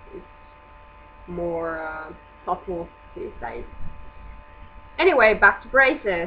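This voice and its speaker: Over noticeable background noise, a woman with a non-native accent and medium pitch mumbles at a very slow pace, with very wide pitch swings, big swings in loudness and long, frequent pauses. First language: not English. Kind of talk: casual vlog talk to camera. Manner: mumbling.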